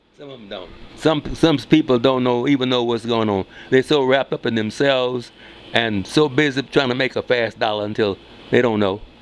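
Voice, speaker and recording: Speaking at a fairly quick pace, a man shows big swings in loudness amid noticeable background noise. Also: medium pitch for a man, ordinary pitch variation. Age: 80s+. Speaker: retired photography teacher. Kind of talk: casual interview. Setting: live stream.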